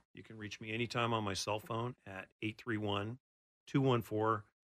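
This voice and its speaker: In a dry, close recording with no echo and a silent background, a man with an ordinary speaking voice talks at a moderate pace with fairly even intonation. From Oregon, Portland area. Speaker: mortgage loan officer. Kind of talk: radio interview. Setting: studio.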